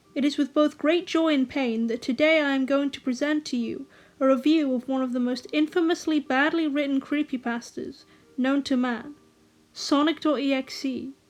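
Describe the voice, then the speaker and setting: At a moderate pace, a woman with a British accent speaks in a high voice with fairly even intonation. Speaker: media reviewer. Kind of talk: review commentary to camera.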